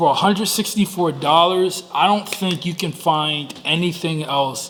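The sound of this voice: A man talks with a fairly bright tone and ordinary pitch variation. Faint background noise sits behind him.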